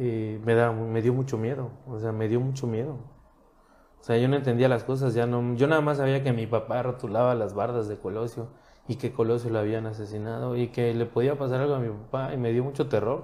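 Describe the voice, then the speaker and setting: This man's medium-pitched voice has a dark, mellow tone, moving at a fairly quick pace with a monotone, flat intonation. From Mexico, Cancún. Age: 30s. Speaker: marketing professional and government communications official. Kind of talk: casual interview chat. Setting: office studio.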